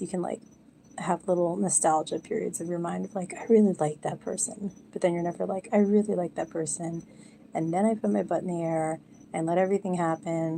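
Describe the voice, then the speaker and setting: A woman's fairly low voice with a dark, mellow tone, ordinary pitch variation and a fairly quick pace. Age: 40s. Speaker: live streamer. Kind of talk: casual chat. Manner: quiet.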